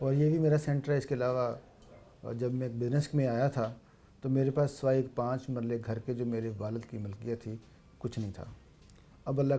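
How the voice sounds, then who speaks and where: Speaking at a moderate pace, a man uses a dark, mellow tone at medium pitch with monotone, flat intonation. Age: 60s. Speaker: businessman. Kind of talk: interview.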